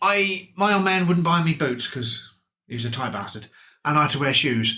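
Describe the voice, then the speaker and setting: In an ordinary speaking voice, a man talks at a fairly quick pace. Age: middle-aged. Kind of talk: casual podcast chat.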